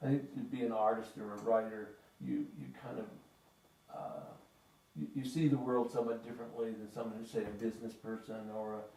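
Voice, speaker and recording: With audible room echo, a man talks at a fairly quick pace in a medium pitch, with ordinary pitch variation and big swings in loudness. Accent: western US. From northern Utah, US. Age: 70s. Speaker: author. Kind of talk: interview. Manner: halting, many fillers and repeats.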